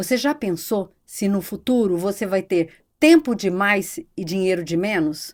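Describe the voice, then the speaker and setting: On a very clean recording with a silent background, a woman uses a normal speaking voice at a medium pitch with lively intonation. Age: 60s. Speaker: economist and psychology researcher. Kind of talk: podcast interview.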